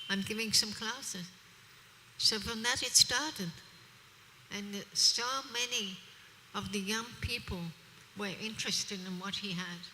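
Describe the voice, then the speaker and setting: Over noticeable background noise, a woman with a medium pitch speaks with long, frequent pauses and ordinary pitch variation. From Australia. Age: 70s. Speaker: preacher. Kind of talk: religious discourse. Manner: animated.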